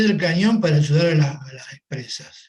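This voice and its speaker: A man's fairly high-pitched, a plain, everyday voice at a moderate pace. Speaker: manufacturer. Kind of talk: panel discussion.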